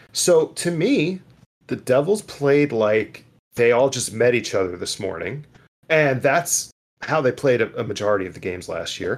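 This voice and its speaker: Using a fairly high pitch with very wide pitch swings and vocal fry, a man speaks at a moderate pace. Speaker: podcast host. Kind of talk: casual chat.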